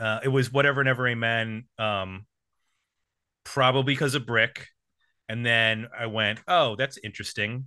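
This man has an unremarkable speaking voice at a medium pitch. He talks at a moderate pace. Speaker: music podcast host. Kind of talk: casual chat.

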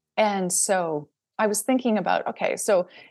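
This woman has an unremarkable speaking voice, with medium pitch and ordinary pitch variation, talking at a fairly slow pace against a quiet background. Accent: Canadian. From Saskatchewan, Canada. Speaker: screen composer. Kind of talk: interview.

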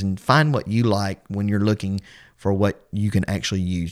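The recording is very clean, with a silent background. A man speaks in a normal speaking voice, fairly low in pitch, at a moderate pace. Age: 30s. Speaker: podcast host and Bible teacher. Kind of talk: religious podcast commentary.

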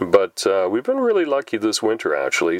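The voice has a relaxed tone and a dry, close sound with no echo, though noticeable background noise is present. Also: man. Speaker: podcast host. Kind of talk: casual monologue. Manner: relaxed, with many filler words.

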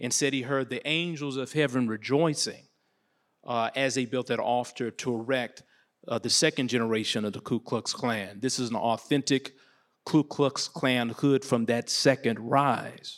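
On a very clean recording with a silent background, a man speaks in a plain, everyday voice at a moderate pace with fairly even intonation. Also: medium pitch for a man. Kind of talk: panel discussion.

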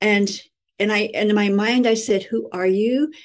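In an American accent, a woman speaks with an unremarkable speaking voice at a medium pitch and with fairly even intonation. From California. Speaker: spiritual teacher, angel channeler. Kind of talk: interview.

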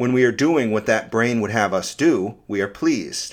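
A man's medium-pitched, normal speaking voice, with lively intonation at a moderate pace. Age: 40s. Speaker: science essayist. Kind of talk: scripted narration.

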